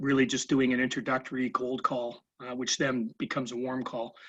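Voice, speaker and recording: Speaking at a moderate pace, a man uses an unremarkable speaking voice with a medium pitch. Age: 60s. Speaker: salesperson, webinar participant. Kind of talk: casual chat.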